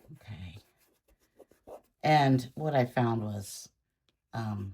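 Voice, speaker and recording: A woman speaks at a very slow pace with a very deep, low pitch and ordinary pitch variation. Her tone is dark, mellow and somewhat breathy. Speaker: art tutorial creator. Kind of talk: tutorial. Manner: casual, thinking aloud.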